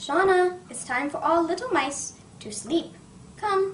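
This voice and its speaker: A woman's put-on character voice at an extremely high pitch, fairly slow, over clear background noise. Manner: gentle, soothing.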